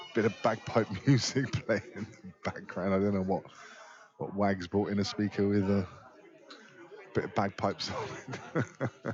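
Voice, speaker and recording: A man with a fairly low voice and fairly even intonation talks at a moderate pace with long, frequent pauses over noticeable background noise. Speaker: pool match commentator. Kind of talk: live commentary. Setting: pool hall, live stream.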